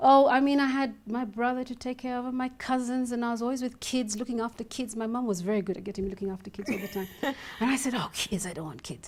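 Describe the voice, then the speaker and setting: Over noticeable background noise, a woman with a high voice and ordinary pitch variation talks very fast with hardly any pauses. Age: 40s. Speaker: dancer and academic. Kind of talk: interview answer.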